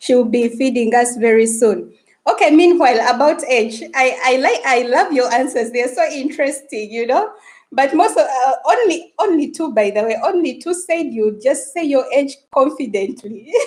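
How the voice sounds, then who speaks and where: Speaking at a moderate pace, a woman with a Ugandan accent uses a high pitch and lively intonation. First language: Luganda. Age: 30s. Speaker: YouTuber. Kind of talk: live stream chat. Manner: animated.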